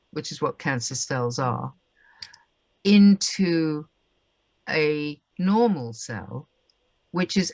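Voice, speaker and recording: Lively intonation runs through a woman's very deep, low voice. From England. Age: 70s. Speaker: holistic clinic co-founder. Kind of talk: casual interview. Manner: hesitant, many fillers.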